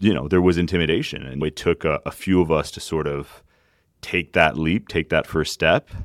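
A man's very deep, low voice with vocal fry and fairly even intonation, recorded dry and close with no echo on a very clean, silent background. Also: moderate pace. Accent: Canadian. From Acadian, Canada. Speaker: union leader. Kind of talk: interview.

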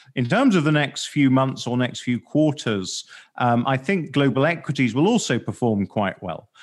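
The man talks at a moderate pace with a medium pitch. His pitch variation is ordinary. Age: 40s. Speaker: podcast host, investment fund manager. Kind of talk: professional interview. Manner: hesitant, many fillers.

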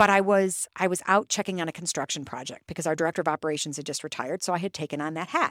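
Talking at a very fast pace with hardly any pauses, a woman with an American accent uses fairly even intonation at a fairly low pitch, on a very clean recording with a silent background and a dry, close sound with no echo. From Toledo, Ohio. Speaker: school superintendent. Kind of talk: interview. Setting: studio.

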